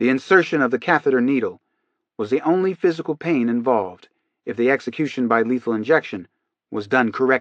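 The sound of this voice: Lively intonation marks an unforced reading voice heard over a quiet background.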